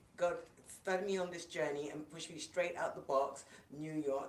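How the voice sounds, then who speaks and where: In a room with audible echo, a woman speaks at a moderate pace with a fairly low pitch. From London, England. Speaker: minister, speaker and coach. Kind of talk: casual interview chat.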